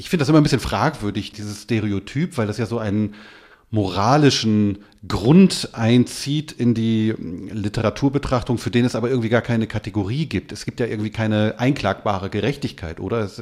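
This man has a normal speaking voice, medium in pitch with ordinary pitch variation, and moves at a fairly quick pace. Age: 40s. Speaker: literary radio editor. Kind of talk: literary discussion.

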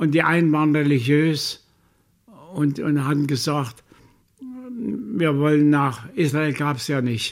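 Long, frequent pauses break up very slow speech that carries ordinary pitch variation. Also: man. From Saxony, Chemnitz. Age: 90s. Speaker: Holocaust survivor. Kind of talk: interview testimony. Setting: care home.

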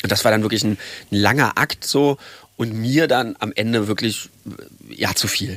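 Long, frequent pauses break up a man's medium-pitched speech at a moderate pace with ordinary pitch variation. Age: 30s. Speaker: journalist. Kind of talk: interview, recounting experiences.

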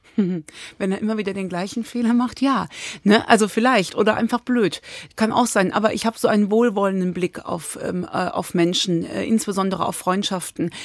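A woman speaks in a plain, everyday voice at a moderate pace, with medium pitch and ordinary pitch variation. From Cologne, Germany. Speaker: author. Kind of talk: interview.

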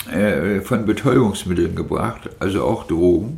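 A man's lively intonation at a fairly slow pace, with audible room echo and noticeable background noise. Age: 50s. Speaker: long-term drug addict, former night-shift hospital aide. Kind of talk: interview testimony. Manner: hesitant with fillers.

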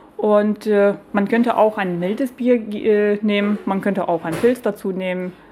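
A woman with a Lithuanian accent speaks at a fairly slow pace in a medium-pitched voice with fairly even intonation. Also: hardly any pauses. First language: Lithuanian (speaking German). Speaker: beer sommelier and brewery owner. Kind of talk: casual interview over lunch. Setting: broadcaster's canteen. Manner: hesitant, many fillers.

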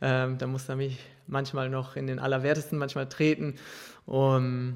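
A man speaks at a medium pitch. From Ruhr area, Germany. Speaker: professional footballer. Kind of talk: interview. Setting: press container at a stadium.

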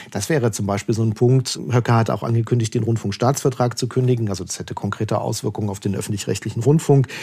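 Very fast speech from a man over noticeable background noise. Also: medium pitch for a man, hardly any pauses. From eastern Germany, Leipzig. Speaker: political correspondent. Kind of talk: interview conversation.

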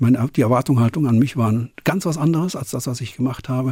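Speaking at a very fast pace, a man has a dark, mellow, somewhat breathy tone. His pitch sits in the medium range. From western Germany (Cologne area, NRW). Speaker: concert promoter. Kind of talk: interview.

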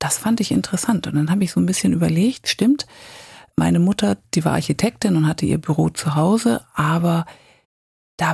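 A woman with a fairly low pitch and vocal fry speaks at a moderate pace with lively intonation, in a dry, close sound with no echo. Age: 50s. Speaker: career coach. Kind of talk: interview.

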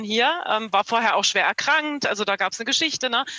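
The voice is bright and sharp in tone, moving at a fairly quick pace with ordinary pitch variation. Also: woman, dry, close sound with no echo. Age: 40s. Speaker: podcast listener. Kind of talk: book discussion via video call. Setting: video call.

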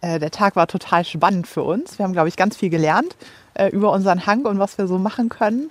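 Very fast speech with ordinary pitch variation. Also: woman, medium pitch for a woman. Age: 30s. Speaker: homeowner and mother. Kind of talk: casual chat. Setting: outdoors in a garden.

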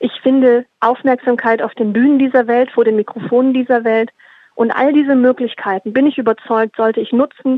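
A woman with a high pitch talks at a fairly quick pace, and her intonation is fairly even. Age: 30s. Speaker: sustainability consultant and activist. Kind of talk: prepared statement.

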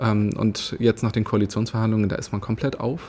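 The voice belongs to a man. It holds a medium pitch. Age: 30s. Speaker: politician. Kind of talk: interview. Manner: frequent filler sounds.

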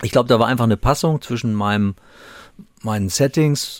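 On a very clean recording with a silent background, an unremarkable speaking voice carries lively intonation at a moderate pace. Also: man. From Hesse, Germany (Gießen). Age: 60s. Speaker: police chief. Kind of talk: interview.

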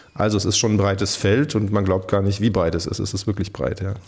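A plain, everyday voice from a man, fairly low in pitch, at a fairly quick pace with fairly even intonation. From Germany, Rhineland-Palatinate (Pirmasens). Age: 40s. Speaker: politician, federal maritime coordinator. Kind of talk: radio interview. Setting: government office.

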